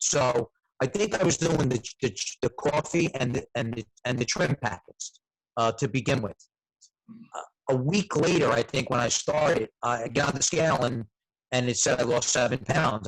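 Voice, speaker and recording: At medium pitch and with an American accent, a man speaks with lively intonation and a somewhat breathy voice, the sound dry and close with no echo. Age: 60s. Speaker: network marketing distributor. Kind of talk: testimony. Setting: video call. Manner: animated.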